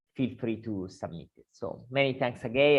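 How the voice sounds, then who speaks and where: A man with a strong Italian accent. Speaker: academic journal editor. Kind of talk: panel presentation. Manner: hesitant, many fillers.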